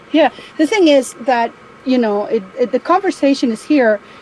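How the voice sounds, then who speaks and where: Over noticeable background noise, a woman talks at a fairly quick pace in a high voice, her pitch swinging very widely. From Spain. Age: 60s. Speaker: caller. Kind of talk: casual chat.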